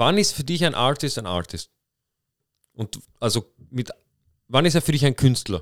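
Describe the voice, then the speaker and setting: The recording is very clean, with a silent background and a dry, close sound with no echo. A man speaks with very wide pitch swings and long, frequent pauses. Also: medium pitch for a man, moderate pace. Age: 20s. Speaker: podcast host. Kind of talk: casual chat.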